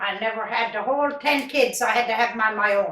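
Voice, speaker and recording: At a moderate pace, a woman with a Newfoundland accent speaks at a high pitch with fairly even intonation. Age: 80s+. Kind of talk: interview answer.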